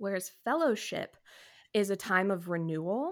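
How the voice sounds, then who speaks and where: A woman with a normal speaking voice and an American accent talks at medium pitch and moderate pace, with ordinary pitch variation. The recording is very clean, with a silent background. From California and Texas. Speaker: stay-at-home mom and wedding photographer. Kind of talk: casual chat.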